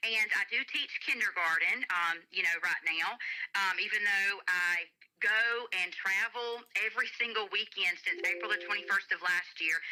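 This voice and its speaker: A woman's bright, sharp voice in a Southern accent, at a moderate pace with very even loudness. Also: medium pitch for a woman, ordinary pitch variation. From US South, Alabama. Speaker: gospel singer and kindergarten teacher. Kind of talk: radio interview.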